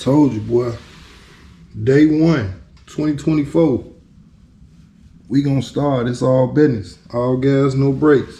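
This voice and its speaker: A man's somewhat breathy, dark, mellow voice at medium pitch, relaxed in tone and fairly slow, with ordinary pitch variation, long, frequent pauses and audible room echo. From Chicago. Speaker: DIY car restorer vlogger. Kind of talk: casual vlog commentary. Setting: garage. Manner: halting, stuttering; relaxed, laid-back.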